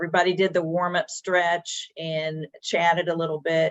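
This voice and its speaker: A woman's normal speaking voice, fairly low in pitch, at a fairly slow pace with a dry, close sound and no echo. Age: 60s. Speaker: business owner. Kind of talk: webinar panel discussion. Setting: video webinar.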